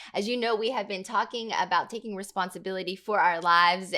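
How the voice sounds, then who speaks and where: A woman's medium-pitched voice with a bright, sharp tone and ordinary pitch variation, on a very clean recording with a silent background. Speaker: pastor and podcast host. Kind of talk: podcast interview questions.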